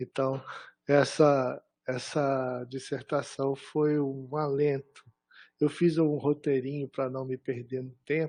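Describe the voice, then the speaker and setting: Very slowly and with monotone, flat intonation, a man speaks in a fairly high voice with a dark, mellow tone. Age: 60s. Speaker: professor, thesis examiner. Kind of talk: academic thesis defense feedback.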